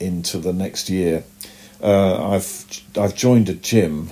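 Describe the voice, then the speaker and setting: In a British accent, a man talks with a dark, mellow tone. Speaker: comic book artist. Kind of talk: casual interview.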